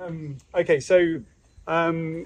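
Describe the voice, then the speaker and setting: A man speaks at a high pitch. The sound is dry, with no echo. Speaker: homestead vlogger host. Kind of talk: casual vlog chat. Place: garden. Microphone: camera far.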